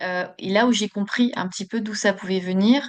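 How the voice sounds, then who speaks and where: This woman speaks at a medium pitch and a fairly slow pace, with fairly even intonation over a quiet background. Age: 40s. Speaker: podcast guest, Reiki practitioner. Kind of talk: interview. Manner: hesitant, many fillers.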